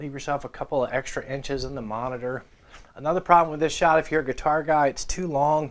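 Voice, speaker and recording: Here a man uses a plain, everyday voice, pitched fairly high, with ordinary pitch variation. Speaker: guitar YouTuber and former radio host. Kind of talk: tutorial.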